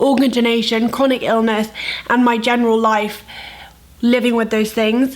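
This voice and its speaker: There is noticeable background noise. Over it, a woman talks at a fairly high pitch. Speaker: lifestyle and health vlogger. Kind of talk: vlog intro then ASMR attempt.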